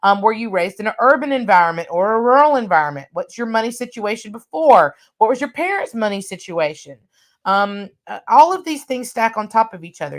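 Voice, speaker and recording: A loud woman's voice, fairly high in pitch, with very wide pitch swings. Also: fairly quick pace. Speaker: workshop trainer. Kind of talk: online workshop lecture.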